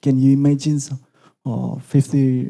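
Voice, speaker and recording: A fairly high-pitched man with a dark, mellow tone at a fairly slow pace. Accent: Indonesian. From Indonesia, East Java. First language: Indonesian. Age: young. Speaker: lecturer. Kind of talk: lecture. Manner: halting.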